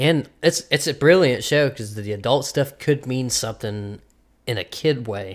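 At a moderate pace, a man with medium pitch and ordinary pitch variation speaks in an unremarkable speaking voice. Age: 20s. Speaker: podcast host. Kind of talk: casual banter, comedy chat. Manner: joking, profane.

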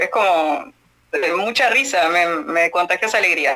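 A woman is speaking. Her pitch is medium. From Argentina. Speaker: radio host. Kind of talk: casual chat.

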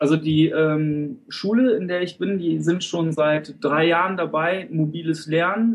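A man talks with a fairly high pitch. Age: 30s. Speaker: teacher trainee. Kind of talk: interview. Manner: halting.

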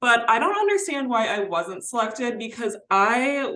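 Using an ordinary speaking voice, a woman talks with a fairly high pitch at a moderate pace. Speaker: podcast co-host. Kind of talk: casual chat.

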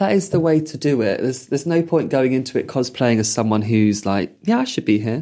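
With a southern English accent, a man talks at medium pitch with lively intonation and hardly any pauses. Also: fairly quick pace. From Purley, south London. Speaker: podcast host. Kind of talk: casual chat.

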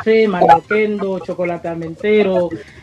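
Noticeable background noise accompanies a woman speaking at a medium pitch with fairly even intonation. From Cuba. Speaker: singer and producer. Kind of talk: radio interview.

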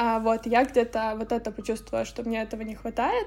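Vocal fry runs through a woman's fairly quick speech. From Ukraine, Lviv. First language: Ukrainian (speaking Russian). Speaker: marketing strategist. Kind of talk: interview. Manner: halting.

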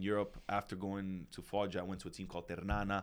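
A man with an American accent talks at a very fast pace in a fairly low voice. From New York City. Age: 30s. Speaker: retired pro footballer and coach. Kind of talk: casual chat.

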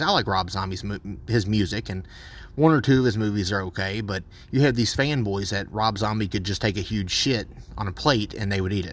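Fairly low in pitch, a man speaks at a fairly quick pace. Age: 30s. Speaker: podcast host, horror film reviewer. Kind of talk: solo film review. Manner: casual with frequent fillers.

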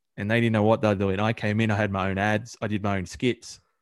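In a very clean recording with a silent background, a man speaks with an Australian accent. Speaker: podcast co-host. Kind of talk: casual banter between co-hosts, with a radio-style sign-off.

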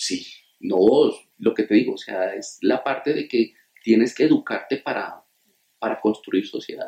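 The speech goes at a fairly slow pace with long, frequent pauses. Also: man. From Colombia, Túquerres, Nariño. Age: 40s. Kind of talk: interview.

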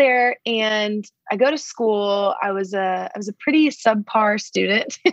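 A woman with a Texan accent and a fairly high pitch speaks at a fairly slow pace with hardly any pauses, the sound dry and close with no echo. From Texas, Dallas. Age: 20s. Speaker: podcast guest. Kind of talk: casual chat. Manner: animated.

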